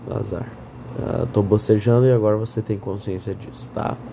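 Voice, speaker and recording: A man's fairly low-pitched voice at a moderate pace, with fairly even intonation and noticeable background noise. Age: 20s. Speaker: podcaster. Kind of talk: casual monologue. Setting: lying in bed at night. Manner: rambling, drowsy with yawns.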